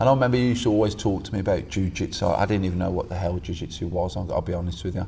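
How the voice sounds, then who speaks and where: With hardly any pauses, a man talks very fast in a very deep, low, somewhat breathy voice with a dark, mellow tone and ordinary pitch variation. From West Midlands, England (Stourbridge). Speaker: jiu-jitsu coach. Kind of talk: casual chat.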